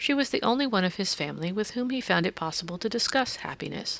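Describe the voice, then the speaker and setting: On a very clean recording with a silent background, a woman races along at a very fast pace in a medium pitch with very wide pitch swings. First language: not English. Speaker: audiobook narrator. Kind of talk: reading aloud.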